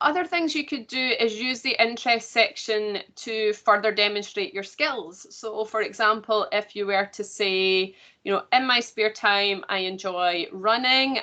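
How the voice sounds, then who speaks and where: A woman with an unremarkable speaking voice talks fairly slowly at medium pitch with ordinary pitch variation. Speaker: careers consultant. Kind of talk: online workshop presentation.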